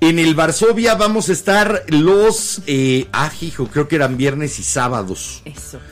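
A man speaks at a fairly slow pace with hardly any pauses, his fairly high pitch swinging very widely. Music plays in the background. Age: 50s. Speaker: podcast host. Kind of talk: casual chat. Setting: live-streamed studio show with video.

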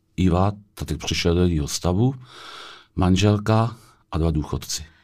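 A man with a very deep, low pitch and ordinary pitch variation is heard on a very clean recording with a silent background. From Czech Republic, Vysočina (Telč). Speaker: small business owner. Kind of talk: interview answers. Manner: halting.

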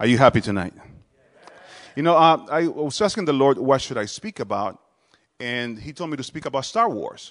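A man with a Dominican accent and a fairly high pitch, very wide pitch swings, big swings in loudness, a moderate pace, and long, frequent pauses. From Dominican Republic. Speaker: visiting pastor. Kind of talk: sermon. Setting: church.

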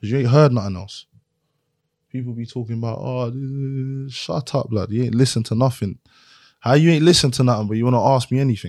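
A man speaks very fast with a London accent. The recording is very clean, with a silent background. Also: medium pitch for a man, ordinary pitch variation. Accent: London, Multicultural London English. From South East London (Lewisham). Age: 20s. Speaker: rapper and producer. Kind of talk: casual chat. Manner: animated.

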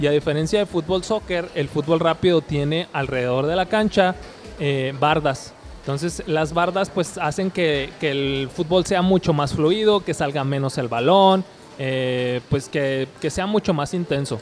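With music in the background, the speaker goes at a fairly slow pace using ordinary pitch variation. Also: man, fairly high pitch for a man. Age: 30s. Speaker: futsal player. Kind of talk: interview. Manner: halting, many repetitions.

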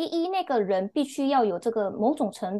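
The intonation is lively. The pace is fairly slow. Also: woman. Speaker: book club member. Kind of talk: casual chat. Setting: remote call. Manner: sharp.

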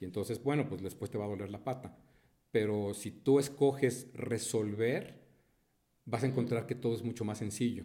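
Somewhat breathy and dark, mellow in tone, a man talks at medium pitch and a moderate pace with fairly even intonation. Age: 50s. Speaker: entrepreneur. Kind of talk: interview.

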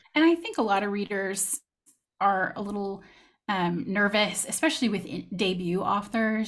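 With an American accent, a woman speaks at a moderate pace in a medium-pitched, somewhat breathy voice with ordinary pitch variation. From Texas. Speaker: fantasy romance author. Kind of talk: casual interview chat. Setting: video call.

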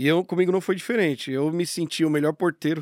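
A man speaks in a normal speaking voice at a fairly high pitch and a fairly quick pace, with ordinary pitch variation, on a very clean recording with a silent background and a dry, close sound with no echo. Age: 30s. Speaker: business owner. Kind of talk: casual interview.

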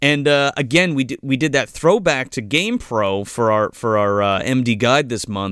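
On a very clean recording with a silent background, an unremarkable speaking voice at a moderate pace with lively intonation. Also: man, medium pitch for a man, hardly any pauses. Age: 30s. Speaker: movie podcast host. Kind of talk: casual chat.

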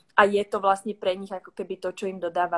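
The woman's pitch is medium and her pace very fast. Her sound is dry and close with no echo. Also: very clean recording, silent background. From Czech Republic. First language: Czech (speaking Slovak). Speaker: business consultant. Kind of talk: livestream interview.

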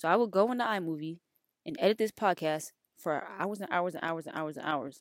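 Lively intonation and big swings in loudness mark a woman's fairly low-pitched voice. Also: dry, close sound with no echo. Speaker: podcast host. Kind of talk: casual solo podcast chat. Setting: recording in a closet at home. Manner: fast talker; casual, chatty.

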